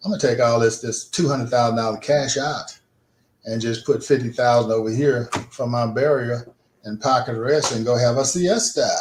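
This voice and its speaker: A man speaks at a moderate pace with a somewhat breathy voice. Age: 70s. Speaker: insurance agent. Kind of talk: radio interview. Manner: casual, conversational.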